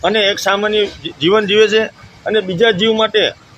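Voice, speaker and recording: A man's voice is heard here. It is high in pitch. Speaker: video blogger interviewing a holy woman. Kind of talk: casual interview with narration to camera.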